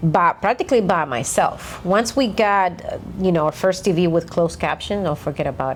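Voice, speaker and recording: The speaker talks at a moderate pace with a Dominican accent. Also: woman. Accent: Dominican Spanish accent, somewhat thick. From Dominican Republic. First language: Spanish. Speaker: podcast co-host. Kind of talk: casual chat.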